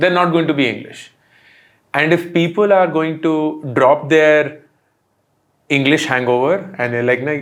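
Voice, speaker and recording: A man with an Indian accent and a fairly high voice, at a moderate pace with long, frequent pauses. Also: ordinary pitch variation. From India, Delhi. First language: Hindi. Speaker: entrepreneur and content creator. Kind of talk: interview.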